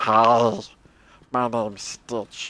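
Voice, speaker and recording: The speaker puts on a character voice with a low pitch. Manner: cartoonish.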